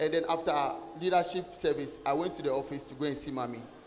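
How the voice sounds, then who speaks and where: A man speaks at a moderate pace, and noticeable background noise sits behind him. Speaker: church usher giving testimony. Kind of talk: testimony. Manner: halting, repeating words.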